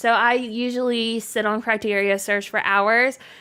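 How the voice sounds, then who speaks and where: On a very clean recording with a silent background, a woman with a fairly high pitch talks in a bright, sharp tone with monotone, flat intonation. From Canada. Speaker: gaming streamer. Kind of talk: live stream gameplay chat. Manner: casual, chatty.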